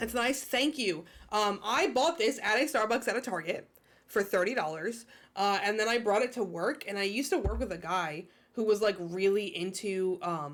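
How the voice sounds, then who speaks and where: A woman talks with lively intonation at a medium pitch. Her pace is moderate. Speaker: streamer. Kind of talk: casual live-stream chat while gaming. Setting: live stream with music playing. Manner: loud; chatty, filler-heavy.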